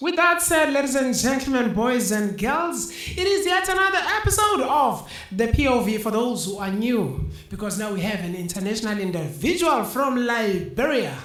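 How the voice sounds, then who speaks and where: Moderate pace and hardly any pauses, with noticeable background noise. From South Africa. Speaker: podcast host. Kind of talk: interview.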